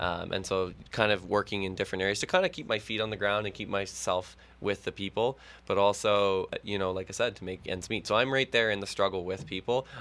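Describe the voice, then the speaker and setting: On a very clean recording with a silent background, a man with an unremarkable speaking voice and a Canadian accent talks at a fairly quick pace, his fairly low voice holding fairly even intonation. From Peterborough, Ontario, Canada. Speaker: municipal election candidate. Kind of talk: radio interview. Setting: radio studio.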